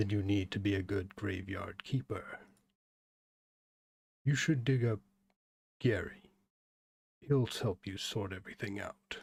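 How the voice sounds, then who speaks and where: In a put-on character voice, a man speaks at a fairly slow pace with long, frequent pauses. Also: fairly low pitch for a man. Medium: game stream.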